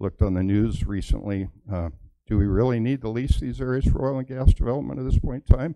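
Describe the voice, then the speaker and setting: A man with a dark, mellow tone talks at a fairly quick pace, the sound dry and close with no echo. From Wyoming. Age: 60s. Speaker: public commenter, mining operator. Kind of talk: public comment at meeting. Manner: halting.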